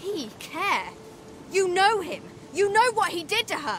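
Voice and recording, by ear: A woman does a put-on character voice at an extremely high pitch, with a fairly bright tone and big pitch swings. She goes at a fairly slow pace over faint background noise.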